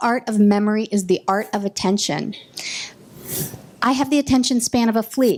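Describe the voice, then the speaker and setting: A woman's animated voice, fairly high in pitch, with ordinary pitch variation. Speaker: workshop presenter. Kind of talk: workshop presentation. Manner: fast.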